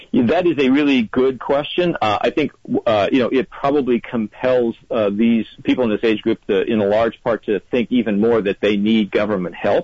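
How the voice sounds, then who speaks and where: A man with an ordinary speaking voice talks at a moderate pace and medium pitch, with hardly any pauses, very even loudness and ordinary pitch variation. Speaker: newspaper political analyst. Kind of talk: interview analysis.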